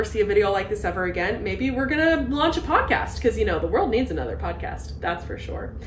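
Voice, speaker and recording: Audible room echo and light background noise surround the recording. A woman talks at a very fast pace. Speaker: video creator, co-host. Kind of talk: casual podcast chat. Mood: cheerful, laughing. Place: home room. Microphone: handheld.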